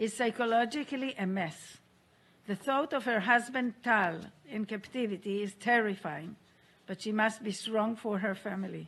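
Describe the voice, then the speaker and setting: In an ordinary speaking voice, a woman talks at a fairly high pitch and a fairly slow pace, with ordinary pitch variation. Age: 60s. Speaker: hostage survivor and aid organization founder. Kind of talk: testimony. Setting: UN Security Council meeting. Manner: formal.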